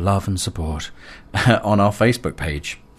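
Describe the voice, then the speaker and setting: A man talks at a moderate pace in a normal speaking voice, his pitch fairly low. His pitch variation is ordinary, and the background is quiet. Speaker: radio host. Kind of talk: radio dj patter, live electronic music show. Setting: radio studio broadcast. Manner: relaxed, chatty, friendly, with frequent filler 'uh'.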